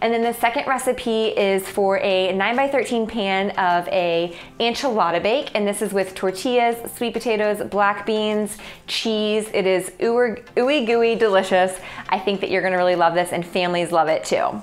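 Her pitch rises and falls in an ordinary way. The woman talks at a moderate pace. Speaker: food blogger host. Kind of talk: cooking video intro. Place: kitchen. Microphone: lapel.

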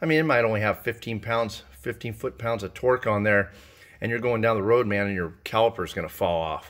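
A man talking at a fairly quick pace against a quiet background. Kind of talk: tutorial. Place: garage. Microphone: phone near.

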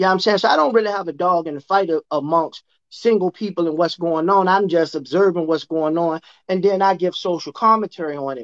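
Against a quiet background, a man with a high pitch talks at a very fast pace with ordinary pitch variation. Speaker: remote guest commentator. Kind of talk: interview answer. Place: home room. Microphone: video call.

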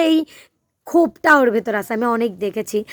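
Lively intonation marks this woman's speech. The sound is dry and close, with no echo. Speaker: vlogger. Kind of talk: casual vlog monologue. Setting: outdoors. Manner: hesitant, filler-heavy.

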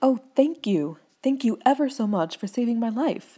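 A squeaky, put-on character voice, female-sounding and fairly high in pitch. She speaks at a moderate pace. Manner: grateful.

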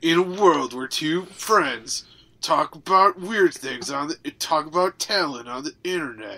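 A put-on character voice at middle pitch, delivered at a fairly slow pace. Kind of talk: dramatic.

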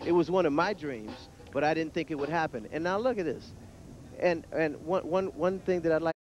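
A man with a high pitch speaks at a fairly quick pace with ordinary pitch variation, the sound dry with no echo and light background noise. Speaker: interviewee. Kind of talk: interview answer. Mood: proud, emotional. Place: street. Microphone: headset.

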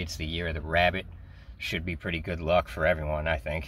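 There is vocal fry in this man's voice, recorded dry with no echo and light background noise. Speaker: vlogger. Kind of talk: casual vlog chat. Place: car. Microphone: phone near.

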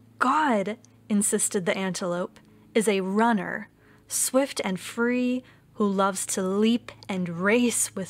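Natural reading voice, nothing more

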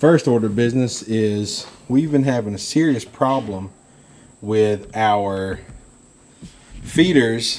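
Ordinary pitch variation at a very slow pace. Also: man. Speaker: hunting vlogger. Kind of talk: casual vlog chat. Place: garden. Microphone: phone near.

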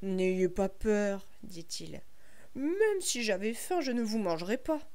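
Heard with audible room echo, a woman's dark, mellow tone moves at a very slow pace through very wide pitch swings. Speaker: storyteller. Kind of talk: reading aloud. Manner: gentle; clear.

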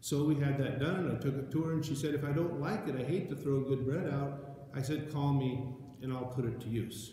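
In strong room echo, a man with a dark, mellow tone and medium pitch talks at a fairly quick pace with fairly even intonation.

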